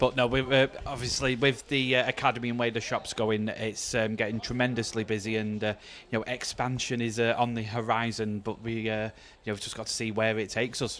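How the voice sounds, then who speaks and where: The speaker has a Mancunian accent and talks at a fairly quick pace. The intonation is monotone and flat. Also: man, medium pitch for a man. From Manchester, northern England. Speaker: darts commentator and county player. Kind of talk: live commentary. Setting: live darts event venue.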